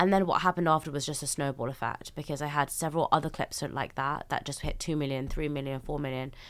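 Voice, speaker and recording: Speaking at a very fast pace, a woman with a very deep, low pitch uses lively intonation in a very clean recording with a silent background. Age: 20s. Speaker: podcast host and planner founder. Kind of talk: interview conversation.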